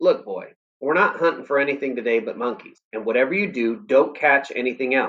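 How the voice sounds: Lively intonation marks a natural reading voice, set against a quiet background.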